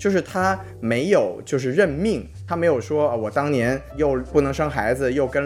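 Noticeable background noise sits behind a man talking at a fairly quick pace. His voice is medium in pitch with lively intonation. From Guangdong, southern China. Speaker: podcast host. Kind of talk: casual chat, TV drama review.

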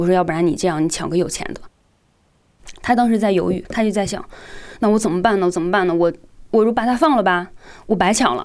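A woman's medium-pitched voice at a very fast pace, full of lively intonation. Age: 20s. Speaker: internet designer sharing a personal story. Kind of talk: testimony.

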